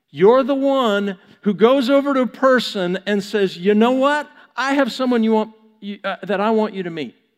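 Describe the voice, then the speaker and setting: With an American accent, a man speaks at a moderate pace in a high voice with ordinary pitch variation. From Texas, US. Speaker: pastor. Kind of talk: sermon. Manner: animated.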